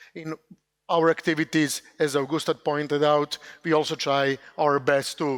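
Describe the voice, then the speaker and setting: Recorded very cleanly against a silent background with a dry, close sound and no echo, the speech moves at a moderate pace in a monotone, flat intonation. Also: man. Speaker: company CEO presenting funding opportunities. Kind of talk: conference presentation. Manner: loud; hesitant, many fillers.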